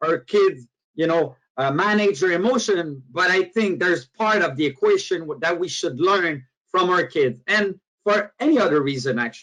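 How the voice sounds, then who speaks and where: A man with a Quebec accent talks at a moderate pace and a high pitch, his intonation lively. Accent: French Canadian accent in English. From Quebec, Canada. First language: French. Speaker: motivational speaker and author. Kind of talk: webinar presentation. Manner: halting, with frequent fillers.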